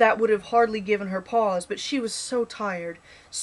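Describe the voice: Plain reading aloud, delivered with fairly even intonation.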